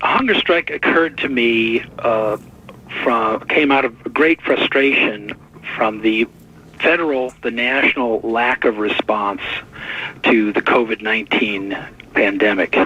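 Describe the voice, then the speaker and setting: The speech comes at a fairly slow pace with long, frequent pauses, very even loudness and ordinary pitch variation, over noticeable background noise. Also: man, medium pitch for a man. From US Midwest, Detroit. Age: 60s. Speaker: artist and activist. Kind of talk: radio interview. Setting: radio interview.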